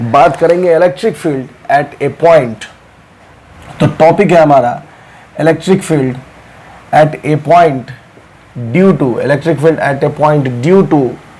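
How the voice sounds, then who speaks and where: Speech at a fairly slow pace with ordinary pitch variation and long, frequent pauses comes through audible room echo and noticeable background noise. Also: man, fairly high pitch for a man. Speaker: physics teacher. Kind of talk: lecture.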